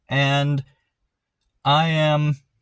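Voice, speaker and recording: A man's voice in a dry, close sound with no echo, on a very clean recording with a silent background. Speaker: vlogger documenting home renovation. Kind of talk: casual unscripted vlog. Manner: rambling, halting.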